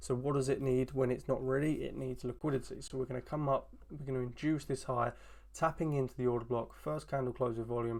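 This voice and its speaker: On a very clean recording with a silent background, a man with an ordinary speaking voice speaks at a fairly quick pace, his medium pitch following fairly even intonation. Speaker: trading educator. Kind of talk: tutorial.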